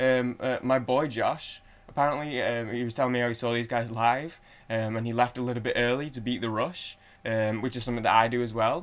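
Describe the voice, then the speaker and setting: Speaking at a very fast pace, a man with a Manchester accent holds a medium pitch. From Manchester, England. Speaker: music reaction youtuber. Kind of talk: casual chat. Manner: halting, many fillers.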